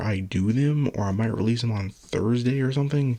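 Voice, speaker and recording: Soft-spoken, a man talks fairly quickly at medium pitch with ordinary pitch variation. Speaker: solo video blogger. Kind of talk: casual monologue.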